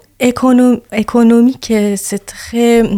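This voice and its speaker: A woman with a Persian accent speaks at a very slow pace and a fairly high pitch. Her tone is dark and mellow, her intonation monotone and flat. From Iran. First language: Persian (speaking French). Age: 30s. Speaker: activist and yoga teacher. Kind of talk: interview testimony. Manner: halting.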